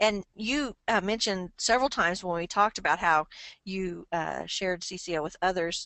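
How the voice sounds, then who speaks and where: A woman with a normal speaking voice talks at a moderate pace and medium pitch, using ordinary pitch variation. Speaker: interviewer. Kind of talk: interview questions.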